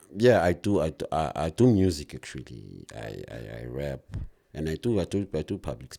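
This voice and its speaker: A man's very deep, low voice with a dark, mellow tone and vocal fry, very wide pitch swings, big swings in loudness and a moderate pace. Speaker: rapper and public speaker; interview guest.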